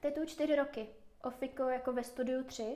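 A woman talks at a very fast pace. Her tone is dark and mellow, with fairly even intonation. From Czech Republic, Moravia. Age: 20s. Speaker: tattoo artist. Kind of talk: casual interview.

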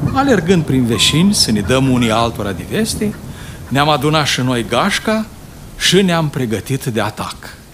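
Over noticeable background noise, a man with a warm tone and medium pitch speaks with very wide pitch swings. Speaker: audiobook narrator. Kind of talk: audiobook reading of a childhood memoir story, nostalgic rural tale. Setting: studio recording. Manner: slow, warm, storytelling tone, reminiscing with a folksy dialect flavor.

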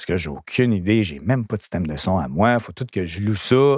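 An animated man swings his pitch very widely, recorded very clean with a silent background and a dry, close sound with no echo. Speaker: DJ and entertainment entrepreneur. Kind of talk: casual interview.

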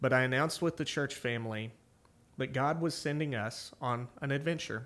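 A man with a plain, everyday voice speaks fairly quickly at a medium pitch, with ordinary pitch variation. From Oklahoma (small town). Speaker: pastor and podcast host. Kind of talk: personal testimony on a ministry podcast.

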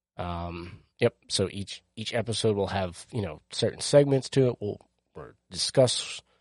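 The sound is dry and close, with no echo and a quiet background. The speech moves at a moderate pace. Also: man. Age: 30s. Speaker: podcast host. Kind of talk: solo casual podcast monologue. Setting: home recording alone at microphone and camera. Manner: hesitant, many fillers.

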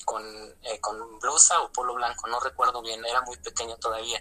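Over noticeable background noise, a man talks at a moderate pace in a fairly high pitch. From Mexico, Toluca, State of Mexico. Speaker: former lay missionary. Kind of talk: testimony. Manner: halting, with repetitions.

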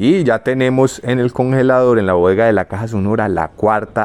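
With hardly any pauses, a man talks in a normal speaking voice at a moderate pace. His pitch is medium, with ordinary variation. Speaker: podcast host. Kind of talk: casual chat.

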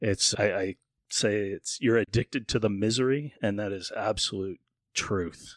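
An unremarkable speaking voice from a man with an American accent, fairly low-pitched, at a moderate pace with fairly even intonation, dry and close with no echo in a very clean recording with a silent background. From Northern Virginia. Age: 50s. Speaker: wilderness survival show contestant and businessman. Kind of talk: casual chat.

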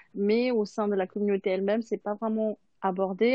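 This woman's voice sits at a medium pitch. It stays flat and monotone throughout. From Madagascar. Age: 20s. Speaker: single mother. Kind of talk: panel discussion.

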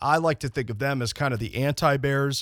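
Speaking at a moderate pace with an animated, upbeat tone, a man with a fairly high pitch and ordinary pitch variation is heard in a very clean recording with a silent background. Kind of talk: radio DJ-style patter: punchy, teasing show promo heading into a break. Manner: animated, upbeat broadcaster delivery with a teasing, jokey lilt.

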